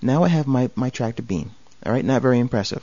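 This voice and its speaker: A male voice at a medium pitch. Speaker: software tutorial instructor. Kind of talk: tutorial. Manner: fast; casual and jokey.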